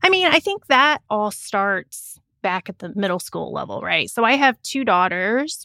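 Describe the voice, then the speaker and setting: In a very clean, dry and close recording with a silent background and no echo, a woman speaks at a moderate pace in a bright, sharp tone. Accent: Midwestern American. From rural Indiana, US Midwest. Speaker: engineering professor. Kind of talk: interview.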